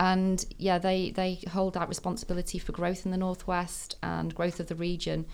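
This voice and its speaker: With hardly any pauses, a woman speaks in a Mancunian accent. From Manchester, northern England. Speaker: tech senior manager. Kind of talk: casual chat. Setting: studio.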